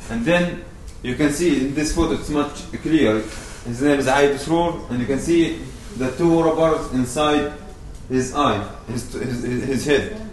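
A man with an Arabic accent, at a fairly slow pace with ordinary pitch variation, with audible room echo and noticeable background noise. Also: fairly high pitch for a man. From Palestine, West Bank village near Ramallah. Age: 20s. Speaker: activist. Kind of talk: public talk. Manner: halting.

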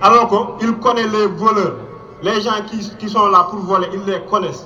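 A man with a high pitch for a man uses a raised, projected voice in a monotone, flat delivery at a moderate pace, with audible room echo and noticeable background noise. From Mauritania. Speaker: refugee activist. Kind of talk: rally speech.

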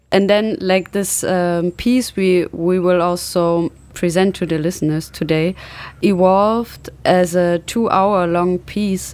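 A woman with a German accent speaks at a very slow pace and medium pitch, keeping her intonation fairly even. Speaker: radio host. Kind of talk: radio interview.

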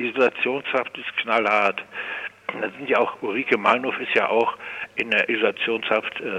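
A man keeps a moderate pace while noticeable background noise plays underneath. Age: 60s. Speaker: forensic psychiatric detainee. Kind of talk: phone interview. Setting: phone call. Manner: halting.

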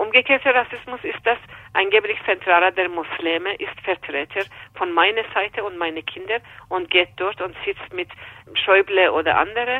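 A woman speaks at a moderate pace with an Iranian accent. Her pitch is medium and varies in an ordinary way. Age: 50s. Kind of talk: interview. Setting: phone call. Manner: halting, with hesitations.

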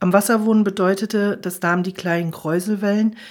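Female speech, moderately paced, with fairly even intonation. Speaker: audiobook reader and radio host. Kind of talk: literary audiobook reading, scripted narration of a novel. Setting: radio broadcast studio. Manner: calm, measured storytelling pace with dramatized character dialogue.

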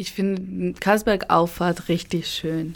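In a Spanish accent, a woman speaks at a medium pitch with fairly even intonation. Her pace is very slow. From Spain, Basque Country (Eibar, San Sebastian). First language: Spanish (speaking German). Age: 20s. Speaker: university student. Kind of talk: interview.

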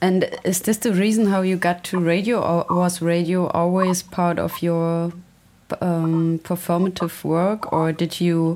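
A woman with a German accent speaks very slowly in a fairly low, flat monotone, on a very clean recording with a silent background. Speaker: radio presenter. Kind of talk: interview. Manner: halting.

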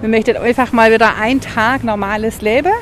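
Over noticeable background noise, a woman talks at a fairly quick pace in a fairly high pitch. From Meßkirch area, Baden-Württemberg. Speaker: visitor, passer-by. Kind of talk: street interview. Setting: outdoors in town.

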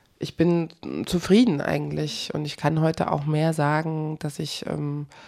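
Her intonation monotone and flat, a woman talks at a very deep, low pitch. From eastern Germany (former GDR). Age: 30s. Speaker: journalist, documentary protagonist. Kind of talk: interview.

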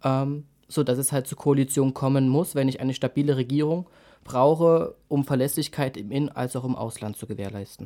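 A man's medium-pitched voice with a dark, mellow tone, moderate pace and ordinary pitch variation, in a very clean recording with a silent background. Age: 20s. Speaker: youth party chairman. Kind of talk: political interview.

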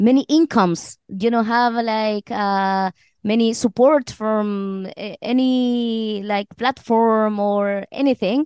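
In a Chilean accent, someone speaks at a very slow pace with ordinary pitch variation, recorded with a dry, close sound, no echo and a quiet background. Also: woman. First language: Spanish. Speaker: actress and singer in a band. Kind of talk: casual interview. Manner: halting, with fillers.

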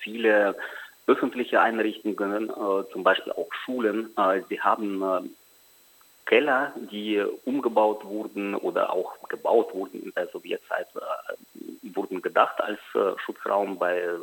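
A man talks fairly slowly with long, frequent pauses, and noticeable background noise is present. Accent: Russian. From Ukraine. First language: Russian (speaking German). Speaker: journalist. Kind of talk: interview. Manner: hesitant with many fillers.

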